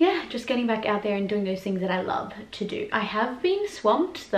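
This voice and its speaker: A woman with an Australian accent and a fairly high pitch, with audible room echo. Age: 20s. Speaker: YouTuber and performer; YouTuber. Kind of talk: casual vlog chat. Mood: warm, chatty, open. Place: home room. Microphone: camera far.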